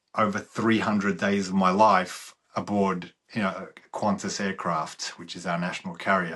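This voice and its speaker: The voice carries an Australian accent and a bright, sharp tone. The background is quiet. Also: man. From Australia, Melbourne. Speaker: former sports agent. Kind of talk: casual chat.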